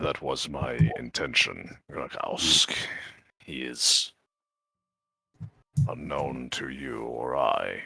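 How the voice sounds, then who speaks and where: In a put-on character voice, a man with a very deep, low pitch speaks very slowly, with long, frequent pauses. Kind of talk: formal, archaic phrasing. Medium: actual play. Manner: measured, polite, deliberate.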